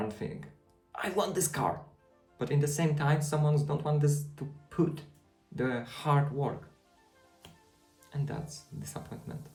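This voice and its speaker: Speaking with a non-native accent, the voice moves at a fairly slow pace with long, frequent pauses. Music runs in the background. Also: man. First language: not English. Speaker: student. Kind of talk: casual vlog talk to camera.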